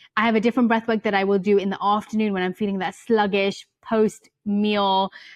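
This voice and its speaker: With a British accent, a woman of medium pitch speaks at a fairly quick pace and fairly even intonation, the sound dry and close with no echo. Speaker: yoga teacher and author. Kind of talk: podcast interview. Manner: fast.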